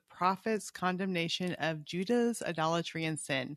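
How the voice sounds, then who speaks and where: A woman of medium pitch uses a normal speaking voice, with a dry, close sound with no echo. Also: quiet background. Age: 50s. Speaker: Bible podcast co-host. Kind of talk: casual chat about Bible reading.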